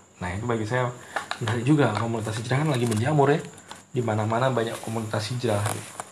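With audible room echo and noticeable background noise, a man speaks very fast at medium pitch with fairly even intonation. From Indonesia, Ponorogo, East Java. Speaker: university lecturer. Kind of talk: lecture. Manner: hesitant, many fillers.

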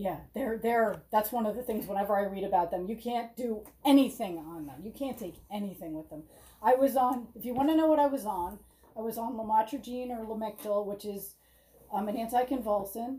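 A woman with a fairly high pitch and a dark, mellow, somewhat breathy tone talks at a fairly quick pace, her pitch varying in an ordinary way while her loudness swings a lot. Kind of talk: casual chat. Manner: halting.

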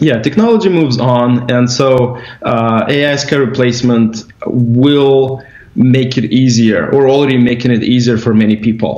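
Noticeable background noise accompanies a man at medium pitch. He keeps a moderate pace and very even loudness. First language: Russian. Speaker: company executive. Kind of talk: casual interview over drinks. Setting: video call.

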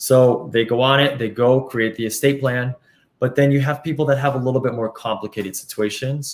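A man talks at a fairly quick pace in an unremarkable speaking voice, medium in pitch, with fairly even intonation. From Colombia, moved to US at 12. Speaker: estate planning company representative, former banker. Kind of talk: interview. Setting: live stream.

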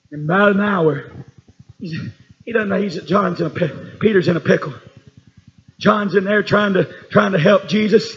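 A man with an American accent speaks at a moderate pace in a high voice, leaving long, frequent pauses. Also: ordinary pitch variation. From Tennessee. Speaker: preacher. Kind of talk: sermon. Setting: church.

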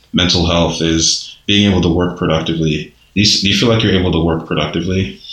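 A man with an American accent talks in a very deep, low pitch. His intonation is fairly even, and room echo is audible. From Nigerian American. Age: 30s. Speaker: podcast host. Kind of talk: casual interview. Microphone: muffled by face mask.

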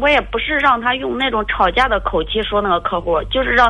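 A woman talks at a fairly quick pace with a fairly high pitch. Her intonation is lively. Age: 30s. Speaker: caller seeking relationship advice. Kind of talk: phone-in advice call. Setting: phone call. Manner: halting.

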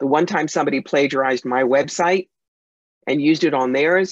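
Recorded with a dry, close sound and no echo, a woman with a New York accent speaks at a very deep, low pitch with ordinary pitch variation. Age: 60s. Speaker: psychic medium and author. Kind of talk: interview. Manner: fast talker.

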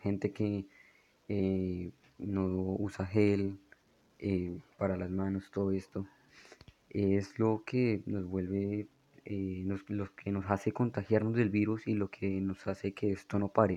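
A man's fairly low, dark and mellow voice, very slow and monotone, with long, frequent pauses. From Colombia, Bogotá. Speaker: podcast host. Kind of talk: solo monologue. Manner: halting, many fillers.

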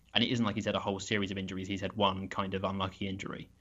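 This man talks very fast. His voice is pitched fairly low. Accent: British. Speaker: football draft analyst. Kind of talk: casual chat. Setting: remote call over internet.

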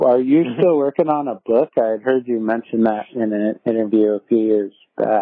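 This is a normal speaking voice from a man with an American accent. His pitch is medium and his pace moderate. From San Diego, California. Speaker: podcast host. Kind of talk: casual chat. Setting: remote call.

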